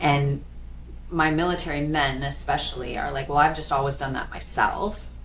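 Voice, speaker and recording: Recorded with audible room echo and noticeable background noise, a woman with an American accent speaks at a moderate pace. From US Midwest, South Dakota. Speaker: financial planner. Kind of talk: casual chat. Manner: animated.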